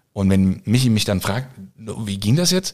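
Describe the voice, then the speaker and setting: A somewhat breathy man with a fairly low pitch and very wide pitch swings speaks at a moderate pace in a very clean recording with a silent background. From eastern Germany (former GDR). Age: 40s. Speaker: firefighter and chef. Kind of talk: casual interview. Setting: at his home.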